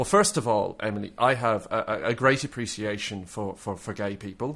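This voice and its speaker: A man with an Irish accent, fairly low-pitched, at a moderate pace with fairly even intonation, in a very clean recording with a silent background. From Ireland. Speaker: podcast host. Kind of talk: casual chat.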